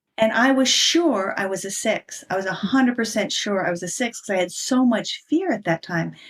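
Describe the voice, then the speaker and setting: A woman's fairly high, lively voice at a moderate pace with hardly any pauses, an ordinary speaking voice. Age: 60s. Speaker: human design coach and author. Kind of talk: interview.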